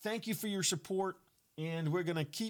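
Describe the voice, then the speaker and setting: The recording is very clean, with a silent background. It features a man talking. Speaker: political podcast host. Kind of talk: casual political commentary. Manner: hesitant with fillers.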